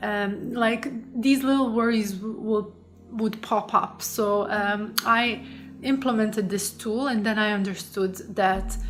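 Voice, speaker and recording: Audible room echo surrounds a woman speaking at a very slow pace with a non-native accent. Her pitch is fairly high and her intonation fairly even. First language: not English. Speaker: coach and psychologist. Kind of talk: online course lesson. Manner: halting, many fillers.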